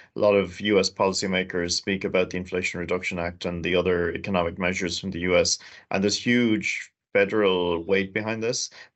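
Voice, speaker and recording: With an Irish accent, a man talks at a fairly quick pace in a very deep, low voice and a monotone, flat intonation. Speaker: chief executive of a trade agency. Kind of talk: interview.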